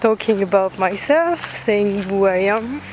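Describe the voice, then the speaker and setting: There is noticeable background noise as a woman of medium pitch talks at a very slow pace with ordinary pitch variation. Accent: French. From France. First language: French. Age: 20s. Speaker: student podcaster. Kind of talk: casual monologue. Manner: halting.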